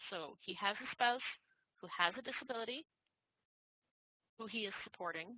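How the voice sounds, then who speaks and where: A woman's voice at a fairly high pitch. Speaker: tax instructor. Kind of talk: lecture. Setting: online class.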